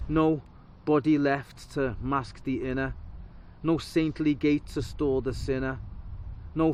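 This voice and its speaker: Speaking in a Liverpool accent, a man at a medium pitch keeps a fairly slow pace and fairly even intonation. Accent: Liverpool (Scouse). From Liverpool, England. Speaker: spoken word poet. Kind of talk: spoken word performance. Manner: rhythmic.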